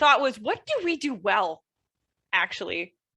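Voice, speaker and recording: Projecting in a raised voice, a woman with a high pitch and a bright, sharp tone makes very wide pitch swings. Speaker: political science professor, panelist. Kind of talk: academic panel discussion.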